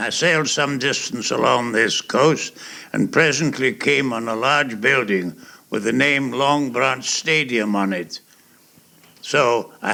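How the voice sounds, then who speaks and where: A man with a bright, sharp tone speaks at medium pitch and a very slow pace. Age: 80s+. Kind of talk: personal memoir recording. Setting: home cassette recording.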